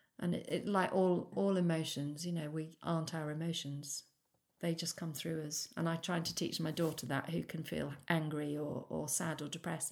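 A woman speaks with a very deep, low pitch. Her pace is moderate and her intonation fairly even. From Shropshire, England. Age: 50s. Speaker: ceramic artist. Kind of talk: casual interview chat. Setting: kitchen.

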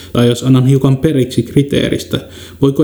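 A man with a medium pitch speaks with fairly even intonation. Noticeable background noise runs underneath. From Kainuu, northern Finland. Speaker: podcast host. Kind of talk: scripted narration. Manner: formal.

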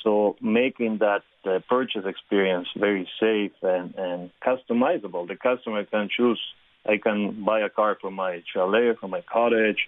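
An ordinary speaking voice from a man, fairly low in pitch, at a moderate pace. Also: fairly even intonation. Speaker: car brand executive. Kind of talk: radio interview.

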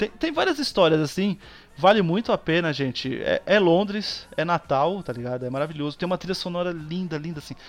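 The speaker is a man with a high pitch. His pace is moderate. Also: ordinary pitch variation. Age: 30s. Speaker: podcast guest. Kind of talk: casual chat.

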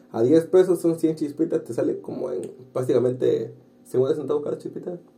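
A man does the talking here. His pace is fairly quick. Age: 20s. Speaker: podcast host. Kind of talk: casual chat.

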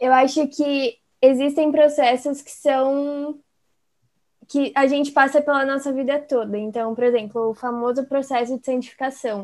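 A woman's high-pitched voice at a fairly slow pace, with fairly even intonation and big swings in loudness. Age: 20s. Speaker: psychology student. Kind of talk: casual chat.

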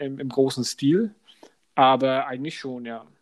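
In a very clean recording with a silent background, a man with a medium pitch and a Franconian accent speaks at a fairly slow pace. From Upper Franconia, Germany. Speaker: podcast co-host. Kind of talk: casual chat.

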